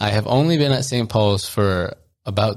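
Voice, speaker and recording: A man with a fairly low pitch and ordinary pitch variation has an ordinary speaking voice, captured in a very clean recording with a silent background. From US, child of Colombian and Ecuadorian immigrants. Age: 20s. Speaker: podcast co-host. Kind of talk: casual chat.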